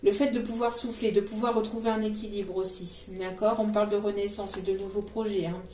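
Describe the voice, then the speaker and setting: A woman talks at a fairly quick pace in a monotone, flat delivery. Noticeable background noise and audible room echo fill the recording. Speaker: tarot card reader. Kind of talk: psychic tarot reading. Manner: hesitant with many fillers.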